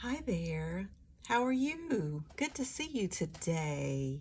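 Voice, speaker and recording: Soft-spoken and at a very slow pace, the speaker talks with an American accent. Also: woman. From US East Coast. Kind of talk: ASMR travel agent roleplay. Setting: quiet studio, close-mic desk roleplay. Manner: soft-spoken, friendly.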